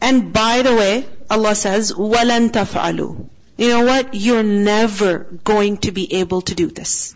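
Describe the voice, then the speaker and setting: An ordinary speaking voice at a fairly slow pace with fairly even intonation. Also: woman. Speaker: Quran teacher. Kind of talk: religious lecture. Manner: teacherly, asks rhetorical questions.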